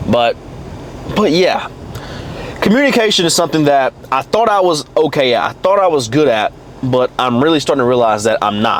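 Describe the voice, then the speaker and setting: A man speaks fairly quickly, his fairly high voice full of lively intonation, with noticeable background noise around him. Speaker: fitness coach and vlogger. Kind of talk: casual vlog monologue. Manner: halting, with repetitions and fillers.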